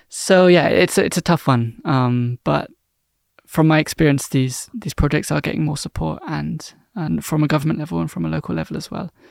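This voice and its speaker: A man with a southern English accent talks at a fairly quick pace, his voice dry and close with no echo. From southern England (London area, Cornwall). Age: 20s. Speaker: marine biologist. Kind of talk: casual interview. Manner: hesitant, many fillers.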